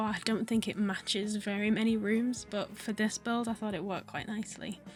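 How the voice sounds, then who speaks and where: Over music in the background, a woman with a northern English accent talks fairly quickly in a fairly high, nervous voice. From Northern England. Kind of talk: casual gaming voiceover. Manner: nervous, chatty.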